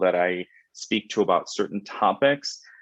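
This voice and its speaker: A man speaks with a Spanish accent at a moderate pace. His pitch varies in an ordinary way. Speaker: credit union executive. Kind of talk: panel webinar conversation.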